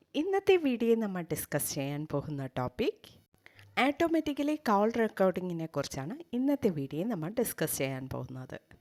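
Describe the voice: Speaking at a fairly quick pace, a woman uses a fairly low pitch with big pitch swings and a slightly mellow tone.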